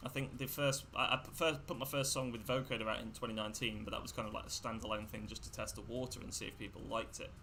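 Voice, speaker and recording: With vocal fry and a bright, sharp tone, a man speaks at medium pitch and a fairly quick pace, his intonation fairly even, in audible room echo. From England. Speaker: electronic music producer. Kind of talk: casual interview on livestream.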